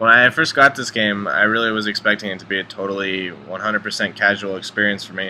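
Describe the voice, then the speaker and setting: A man talks at a very fast pace with hardly any pauses and big swings in loudness. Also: ordinary pitch variation. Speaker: gamer, speedrunner. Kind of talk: gameplay commentary.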